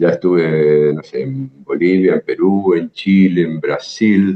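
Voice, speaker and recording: A man speaks with a Rioplatense accent. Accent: Argentine Rioplatense Spanish. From Buenos Aires province, Argentina. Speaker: jazz guitarist and teacher. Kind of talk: interview answer.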